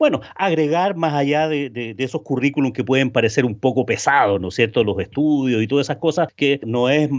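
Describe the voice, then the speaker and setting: A plain, everyday voice talks at a fairly quick pace with ordinary pitch variation and hardly any pauses. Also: man. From Chile. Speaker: B2B sales consultant and trainer. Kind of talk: interview.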